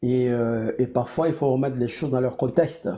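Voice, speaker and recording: A man's medium-pitched voice comes across somewhat breathy, with a dark, mellow tone. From Ivory Coast. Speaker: political panelist. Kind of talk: political debate. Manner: fast; hesitant, many fillers.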